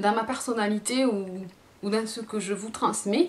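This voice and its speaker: With a southern French accent, a woman speaks very slowly at a fairly high pitch, her pitch varying in an ordinary way. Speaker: beauty youtuber. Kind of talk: casual vlog. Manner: halting, many fillers.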